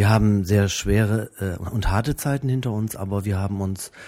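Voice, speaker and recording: At a moderate pace, a man talks in a fairly low pitch with a dark, mellow tone and ordinary pitch variation. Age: 40s. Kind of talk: interview answers.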